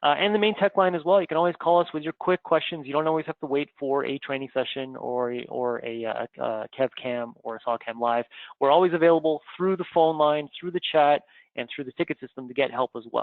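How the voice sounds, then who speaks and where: With a Canadian accent, a man talks in a normal speaking voice at a fairly quick pace, using a fairly high pitch and ordinary pitch variation. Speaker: software trainer. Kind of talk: webinar announcements. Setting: live online webinar.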